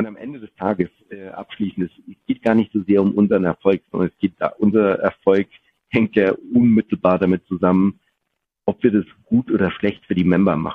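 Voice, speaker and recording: In an unremarkable speaking voice, a man talks at a moderate pace with a fairly low pitch. His intonation stays fairly even while his loudness swings widely. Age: 40s. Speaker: business executive. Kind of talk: interview.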